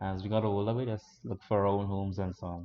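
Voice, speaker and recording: A man with a Trinidadian accent talks at a moderate pace in a fairly low, monotone voice with flat intonation. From Trinidad and Tobago. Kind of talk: interview answer.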